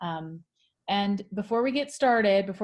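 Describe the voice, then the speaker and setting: Somewhat breathy, a woman speaks at medium pitch and a moderate pace with ordinary pitch variation. The recording is very clean, the background silent. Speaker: marketing manager. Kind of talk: virtual interview moderation.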